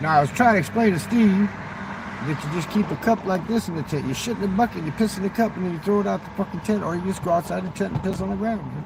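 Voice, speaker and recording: A man talks at a very fast pace with a high pitch and ordinary pitch variation. Noticeable background noise runs underneath. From southern Mexico (Chiapas). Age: 60s. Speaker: livestreamer. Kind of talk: casual livestream chat. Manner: animated.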